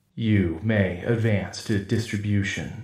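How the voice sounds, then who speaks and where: Using a put-on character voice, a man speaks resonantly at a fairly low pitch and a fairly slow pace, with slight echo. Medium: audio drama. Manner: cold, mechanical commands.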